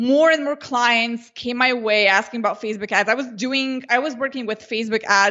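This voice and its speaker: A woman with a Slovenian accent, fairly high-pitched, her pitch varying in an ordinary way. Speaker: Facebook ads consultant. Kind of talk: interview.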